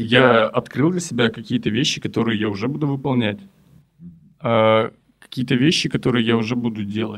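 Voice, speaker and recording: The voice is an unremarkable speaking voice with ordinary pitch variation. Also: man. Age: 20s. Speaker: therapy client. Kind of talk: therapy session. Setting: studio.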